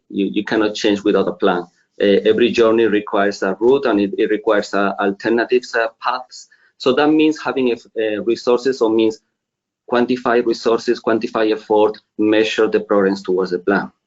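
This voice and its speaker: A man speaks at a fairly quick pace with a medium pitch. His loudness stays very even. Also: ordinary pitch variation. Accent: Spanish. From Spain. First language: Spanish. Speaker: finance executive. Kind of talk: webinar presentation.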